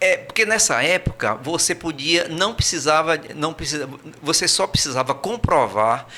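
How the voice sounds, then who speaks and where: Over noticeable background noise, a man with a Brazilian accent talks at a fairly slow pace, his fairly high voice carrying lively intonation. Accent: Brazilian Portuguese, kept. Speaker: emigrant returned from Portugal. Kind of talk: podcast interview. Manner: hesitant, repeats words.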